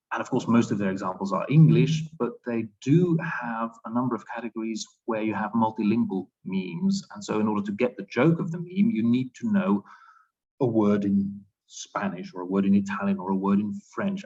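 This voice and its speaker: A man speaks with a Dutch accent in a dark, mellow tone. His intonation is lively and his pace fairly quick. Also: medium pitch for a man. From Flanders, Belgium. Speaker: linguistics researcher. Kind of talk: academic Q&A. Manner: hesitant, thinking aloud.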